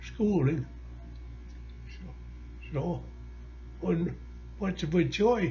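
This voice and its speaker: Music runs behind the voice. A man talks at a fairly slow pace. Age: 90s. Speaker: war veteran. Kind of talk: interview.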